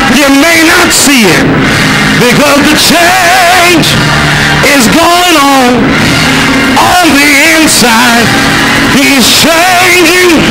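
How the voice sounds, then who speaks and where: A man at a very slow pace with long, frequent pauses and ordinary pitch variation, loud music playing in the background. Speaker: preacher. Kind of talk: sermon. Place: church. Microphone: handheld.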